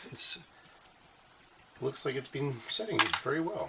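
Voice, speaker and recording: The voice is soft-spoken against noticeable background noise. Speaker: maker channel host. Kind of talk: tutorial.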